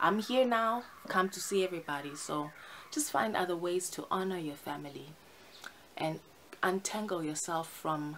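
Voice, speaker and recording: Light background noise accompanies speech at a fairly slow pace with ordinary pitch variation. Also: woman. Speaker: vlogger. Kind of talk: casual vlog chat. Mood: earnest, opinionated. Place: home room. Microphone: phone near.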